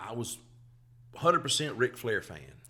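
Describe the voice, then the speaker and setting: Bright and sharp in tone, a man talks with a Southern US accent. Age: 50s. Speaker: comedian. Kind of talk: casual chat.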